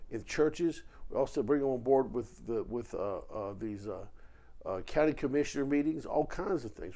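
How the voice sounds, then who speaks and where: At a moderate pace, a man with a Virginia accent speaks in an animated tone. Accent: Virginia Southern US. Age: 60s. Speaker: political commentator. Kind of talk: political monologue video.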